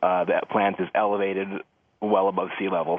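A man talks at a moderate pace with fairly low pitch. It is an ordinary speaking voice. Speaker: chemical industry reporter. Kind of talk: news interview.

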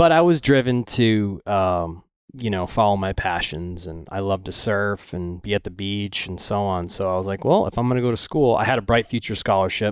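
A man with an unremarkable speaking voice and fairly low pitch talks at a moderate pace with hardly any pauses and ordinary pitch variation, on a very clean recording with a silent background. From Florida Gulf Coast (Venice), moved from Michigan at four. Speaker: ocean photographer. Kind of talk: casual interview chat.

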